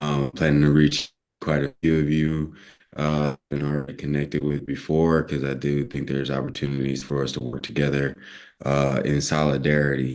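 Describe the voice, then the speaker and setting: A soft-spoken man talks at a moderate pace in a very deep, low voice. His intonation stays flat and monotone. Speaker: award honoree and activist. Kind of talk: acceptance speech. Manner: halting.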